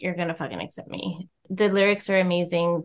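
Fairly even in intonation, this woman has an ordinary speaking voice at a medium pitch. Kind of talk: casual chat.

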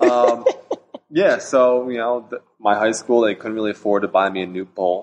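This man has a normal speaking voice with a medium pitch. He talks at a moderate pace, with fairly even intonation. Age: 30s. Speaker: pole vaulter. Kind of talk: casual chat.

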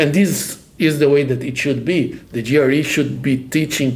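Here a man speaks with a Portuguese accent at a fairly high pitch, somewhat breathy. His pace is moderate and his intonation fairly even. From Brazil. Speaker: professor. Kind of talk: casual chat.

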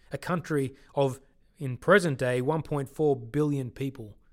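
A man speaks with an Australian accent at a fairly high pitch. His pace is moderate and his pitch variation ordinary. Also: very clean recording, silent background. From Sydney, Australia. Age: 30s. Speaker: podcast host, ministry worker. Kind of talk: personal storytelling narration. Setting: studio.

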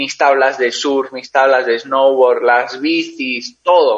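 This voice belongs to a man. It has a medium pitch. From Spain, Basque Country (San Sebastián). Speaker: endurance cyclist. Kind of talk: interview.

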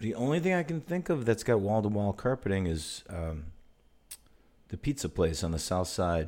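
Very wide pitch swings mark a man's fairly low voice, delivered at a moderate pace in an American accent. The recording is very clean, with a silent background. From northern Illinois. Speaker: musician and podcast host. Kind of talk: casual chat.

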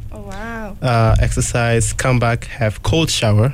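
This man's speech moves fairly slowly, with noticeable background noise behind it. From Democratic Republic of the Congo. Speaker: international student. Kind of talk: casual chat.

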